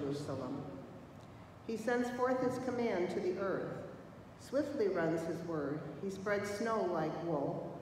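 The speech moves at a fairly slow pace with long, frequent pauses. Strong room echo and light background noise surround it. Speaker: lector reading scripture. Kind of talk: scripture reading aloud. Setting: church. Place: church. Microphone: podium.

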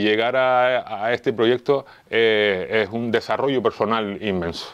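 A man at medium pitch and a fairly slow pace, against a quiet background. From Canary Islands, Las Palmas. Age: 50s. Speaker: amateur historian and local police officer. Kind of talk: interview. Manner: halting, many fillers and repetitions.

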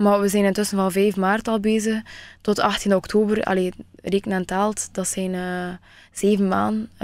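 Over a quiet background, a woman speaks at a fairly slow pace. Her intonation is monotone and flat, and the sound is dry with no echo. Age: 20s. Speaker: beauty pageant finalist; radio guest. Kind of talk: radio interview. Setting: radio studio. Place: studio.

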